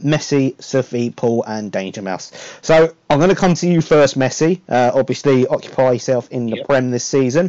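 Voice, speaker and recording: A man in a normal speaking voice, fairly high in pitch, with ordinary pitch variation and a moderate pace. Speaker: podcast host. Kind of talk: casual chat. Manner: welcoming, conversational.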